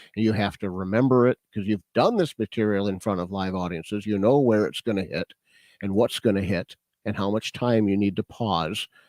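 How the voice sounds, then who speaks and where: An ordinary speaking voice from a man, fairly low and fairly quick, with fairly even intonation, on a very clean recording with a silent background and a dry, close sound with no echo. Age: 50s. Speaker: stand-up comedian; auctioneer. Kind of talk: podcast interview answer.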